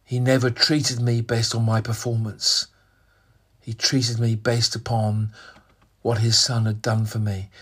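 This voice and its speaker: A man speaks at a moderate pace in a monotone, flat intonation, with long, frequent pauses. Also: medium pitch for a man. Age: 60s. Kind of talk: devotional sermon monologue. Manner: hesitant, with fillers and repetitions.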